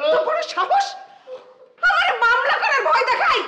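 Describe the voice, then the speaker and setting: A woman puts on a squeaky character voice at an extremely high pitch with very wide pitch swings. Her pace is moderate. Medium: short film. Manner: fierce, commanding.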